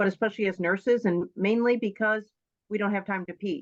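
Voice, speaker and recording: Against a quiet background, a woman speaks at a fairly quick pace and medium pitch with fairly even intonation. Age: 60s. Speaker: nurse. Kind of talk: testimony. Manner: halting.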